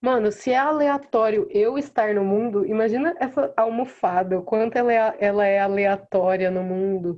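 A woman's plain, everyday voice at a fairly slow pace. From interior of São Paulo state, Brazil (Mococa). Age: 20s. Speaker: singer-songwriter. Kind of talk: casual interview chat.

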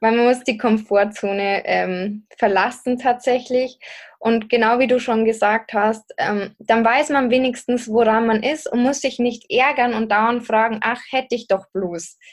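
Here is a woman with an unremarkable speaking voice, pitched fairly high. She moves at a fairly slow pace with fairly even intonation. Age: 20s. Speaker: podcaster and singles coach. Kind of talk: interview conversation.

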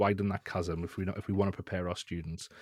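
With a northeast English accent, a man speaks at a very deep, low pitch, the sound dry and close with no echo. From northeast England. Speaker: education technology lead and guest. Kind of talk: interview discussion. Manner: hesitant, repeats words.

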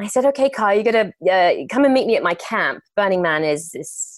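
In an English accent, a woman talks at a fairly quick pace. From England. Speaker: actress and entrepreneur. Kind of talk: interview.

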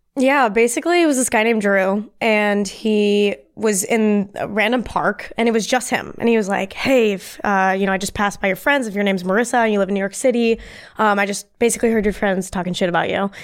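A woman with a plain, everyday voice and an American accent speaks at a fairly quick pace with hardly any pauses, her medium pitch showing ordinary pitch variation. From US, grew up bicoastal. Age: 20s. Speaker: community founder, content creator. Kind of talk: casual chat.

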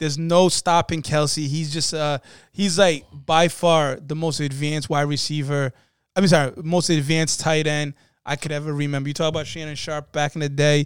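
On a very clean recording with a silent background, a man speaks at a moderate pace and fairly high pitch in a monotone, flat way. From New England. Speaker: sports podcast co-host. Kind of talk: casual sports chat.

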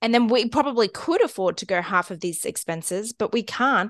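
A woman with an Australian accent. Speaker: podcast co-host, stepmom. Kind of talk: casual chat.

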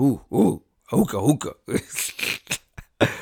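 A man puts on a character voice at a medium pitch. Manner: grunting, primitive.

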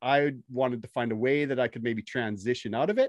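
Heard in a dry, close sound with no echo, a man talks at a medium pitch and a fairly quick pace with fairly even intonation in an unremarkable speaking voice. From Canada. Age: 40s. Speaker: podcast host and electrician. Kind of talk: casual interview chat.

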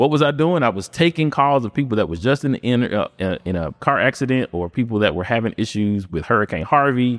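In a very clean recording with a silent background and a dry, close sound with no echo, a man with an American accent talks at a fairly quick pace, with hardly any pauses. He has an unremarkable speaking voice, a medium pitch and lively intonation. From Memphis, Tennessee (US South). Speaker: real estate investor and wholesaler. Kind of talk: casual interview chat. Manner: casual, filler-heavy (um, you know what I'm saying).

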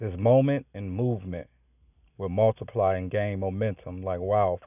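A man uses a plain, everyday voice, fairly low in pitch, at a moderate pace with fairly even intonation. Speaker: spiritual teacher and podcaster. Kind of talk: sermon-like spiritual teaching, prepared reading. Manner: earnest, preachy, formal.

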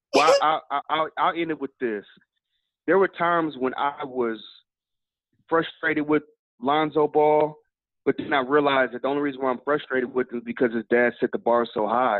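A man at a fairly high pitch with ordinary pitch variation and a moderate pace, broken by long, frequent pauses. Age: 40s. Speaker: sports training company owner, former college football player. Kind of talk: casual interview.

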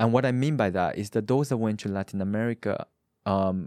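Dry and close with no echo on a very clean recording with a silent background, the voice has a dark, mellow tone, a fairly quick pace and ordinary pitch variation. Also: man. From Paraguay. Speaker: podcast co-host, startup advisor. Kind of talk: interview. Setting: studio.

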